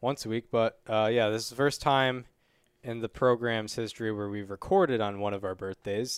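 On a very clean recording with a silent background and a dry, close sound with no echo, a man with an ordinary speaking voice talks at a moderate pace, medium in pitch, with fairly even intonation. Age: 20s. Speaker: baseball podcast host. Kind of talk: casual chat.

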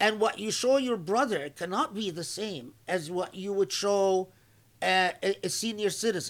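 In a very clean recording with a silent background, a man with a high pitch speaks at a fairly slow pace with ordinary pitch variation. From Egypt. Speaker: Islamic scholar. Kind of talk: religious lecture.

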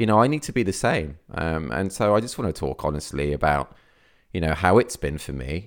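On a very clean recording with a silent background, a man with a Midlands accent speaks with a very deep, low pitch, vocal fry and lively intonation. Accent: Midlands, e.g. says year that way. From English Midlands, near Birmingham. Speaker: photographer and podcast host. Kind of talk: solo podcast monologue. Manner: hesitant, many fillers.

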